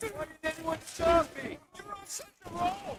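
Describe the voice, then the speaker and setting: A put-on character voice comes out high-pitched and squeaky. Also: fairly slow pace. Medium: video game. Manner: dry, sardonic.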